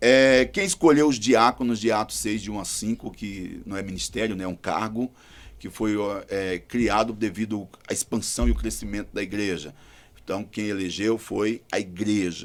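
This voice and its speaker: An ordinary speaking voice from a man at a fairly low pitch and moderate pace. Pitch variation is ordinary, in a very clean recording with a silent background. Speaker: pastor. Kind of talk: panel discussion.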